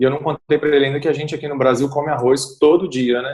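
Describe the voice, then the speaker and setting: A man with a Portuguese accent and a fairly high pitch. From Brazil. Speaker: English teacher. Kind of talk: casual chat.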